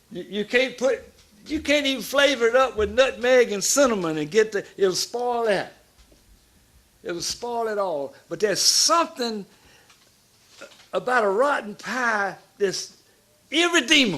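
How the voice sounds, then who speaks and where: In a Southern US accent, a man talks with an extremely high pitch and lively intonation. His pace is fairly slow, with long, frequent pauses. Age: 70s. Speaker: pastor. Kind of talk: sermon-style talk. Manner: animated.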